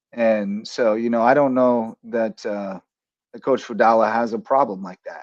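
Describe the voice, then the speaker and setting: A man talks in a normal speaking voice at a medium pitch, with ordinary pitch variation and a moderate pace. The sound is dry and close with no echo, and his loudness swings a lot. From rural Kansas. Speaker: sports talk show host and coach. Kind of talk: casual sports talk show.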